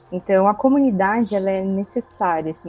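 Over music in the background, a woman talks at a fairly quick pace with medium pitch and ordinary pitch variation. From interior of São Paulo state, Brazil. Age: 20s. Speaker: biologist, community member guest. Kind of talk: casual group conversation.

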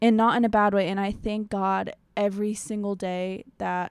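The recording is very clean, with a silent background. A woman with an American accent and a normal speaking voice talks at a moderate pace, her medium pitch fairly even. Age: 20s. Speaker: podcast host. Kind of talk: casual monologue.

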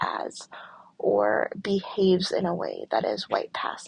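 A woman's voice with a Michigan accent. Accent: US Midwest (Michigan). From rural Michigan, US. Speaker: podcast host. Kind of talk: solo monologue podcast. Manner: deliberately slow.

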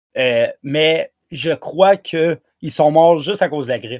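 A man with an ordinary speaking voice, fairly high pitch and ordinary pitch variation, in dry, close sound with no echo. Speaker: podcast co-host. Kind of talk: casual chat.

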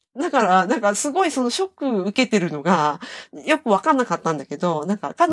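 A woman at a fairly quick pace with very wide pitch swings, dry and close with no echo. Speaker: podcast co-host. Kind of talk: casual chat. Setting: remote call.

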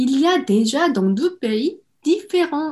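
A woman's high voice in a Korean accent, with very wide swings in pitch. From South Korea, Seoul. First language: Korean (speaking French). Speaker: home cook and online cooking creator. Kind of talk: interview.

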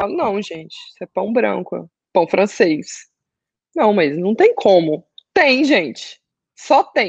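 Speaking at a very slow pace and a medium pitch, a woman uses very wide pitch swings, big swings in loudness, and long, frequent pauses. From Brazil, Goiânia. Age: 20s. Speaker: fitness client sharing weight-loss story. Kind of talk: testimony.

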